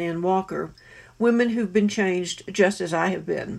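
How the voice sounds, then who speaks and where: With an American accent, a woman talks at a moderate pace in an ordinary speaking voice, at medium pitch with fairly even intonation. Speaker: author. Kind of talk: testimony.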